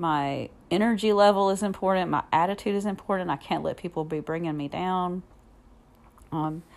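In a warm, upbeat tone, a woman speaks at a fairly low pitch with ordinary pitch variation on a very clean recording with a silent background. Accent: Southern US. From Alabama, US South. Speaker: podcast host and fitness instructor. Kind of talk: solo podcast monologue, casual. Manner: warm, conversational, upbeat.

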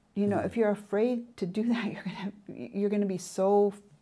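Her voice somewhat breathy, a woman speaks at medium pitch with ordinary pitch variation and a dark, mellow tone. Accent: American. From US Pacific Northwest, Oregon. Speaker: entrepreneur turned business professor. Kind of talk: interview.

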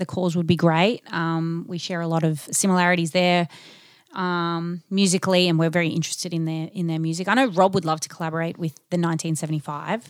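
A woman speaks with an Australian accent. Her intonation stays monotone and flat. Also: fairly quick pace. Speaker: singer-songwriter in a band. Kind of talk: casual interview chat. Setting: in-person conversation.

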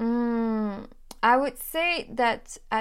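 A woman with a French accent speaks at a high pitch with ordinary pitch variation. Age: 20s. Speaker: YouTube French teacher. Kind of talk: interview.

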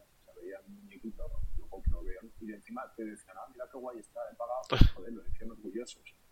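A man talking at a very fast pace. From Spain, Madrid. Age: 30s. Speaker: crypto investor and streamer. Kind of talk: podcast interview.

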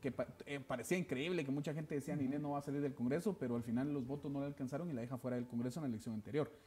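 Speaking very fast with hardly any pauses, a man uses a dark, mellow tone at a fairly high pitch with ordinary pitch variation. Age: young. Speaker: political party secretary general. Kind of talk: TV political interview.

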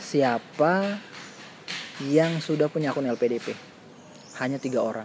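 A man talks at a fairly slow pace with long, frequent pauses. His voice sits fairly high, with ordinary pitch variation. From Maluku, eastern Indonesia. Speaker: scholarship mentor. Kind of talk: casual chat.

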